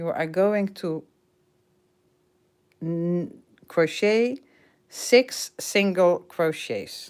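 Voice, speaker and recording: Speaking with a Dutch accent, a woman goes at a very slow pace with ordinary pitch variation. The recording is very clean with a silent background. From Netherlands. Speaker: crochet teacher. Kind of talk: tutorial. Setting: livestream. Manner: halting.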